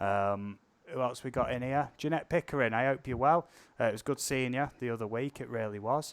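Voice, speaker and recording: A man with a British accent talks at a fairly quick pace and a medium pitch. His pitch variation is ordinary, and the background is quiet. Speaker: drone channel live streamer. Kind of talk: casual live stream chat. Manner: talkative.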